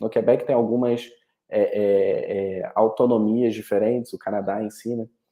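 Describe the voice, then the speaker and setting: A man speaks at a medium pitch. He has a Rio de Janeiro accent. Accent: carioca. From Rio de Janeiro, Brazil. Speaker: study abroad representative. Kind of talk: webinar presentation. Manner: halting, many repetitions and fillers.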